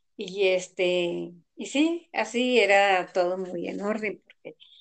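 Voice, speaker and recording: Her voice sits at a medium pitch with ordinary pitch variation, a woman speaking. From rural central Mexico. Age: 60s. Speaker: elderly interviewee. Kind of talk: interview.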